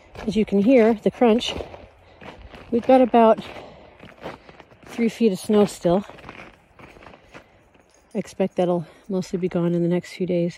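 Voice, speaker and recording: The sound is dry with no echo as a woman speaks with long, frequent pauses over light background noise. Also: ordinary pitch variation. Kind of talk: casual podcast narration. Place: farm machine.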